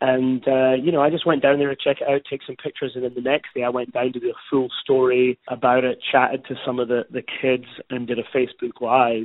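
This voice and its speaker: In a Scottish accent, a man of medium pitch talks at a fairly quick pace with hardly any pauses and monotone, flat intonation. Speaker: news reporter. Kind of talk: interview.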